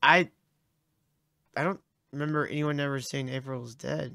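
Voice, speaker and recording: The pace is moderate. The sound is dry with no echo, and the background is quiet. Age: 30s. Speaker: podcast co-host. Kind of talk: casual chat. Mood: joking, casual. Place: home room. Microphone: studio mic.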